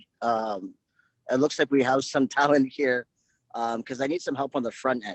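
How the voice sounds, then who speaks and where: With an unremarkable speaking voice, a man talks at a moderate pace and ordinary pitch variation. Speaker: business network member, print and digital services. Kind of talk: casual self-introduction on video meeting. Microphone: crackly, lagging audio.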